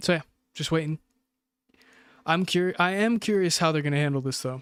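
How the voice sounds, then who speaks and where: A man with an American accent speaks at a fairly quick pace and a fairly high pitch, with ordinary pitch variation. The sound is dry and close, with no echo. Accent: sounds American. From UAE. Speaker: esports co-streamer. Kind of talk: live commentary. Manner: casual, rambling with filler sounds.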